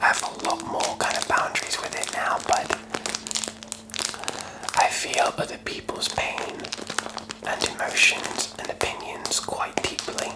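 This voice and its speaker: Whispering in a relaxed tone, a man talks at a fairly slow pace with long, frequent pauses over noticeable background noise. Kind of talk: ASMR whispered ramble. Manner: whispered, soft, relaxed.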